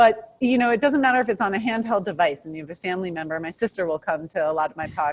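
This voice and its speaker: A woman with a New York accent talks at a very fast pace with hardly any pauses. Her medium-pitched voice has lively intonation and big swings in loudness. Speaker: criminal defense attorney. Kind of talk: interview.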